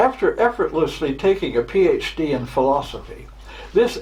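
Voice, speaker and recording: A man at a moderate pace with noticeable background noise. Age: 80s+. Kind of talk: prepared address. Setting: home, luncheon party. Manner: halting.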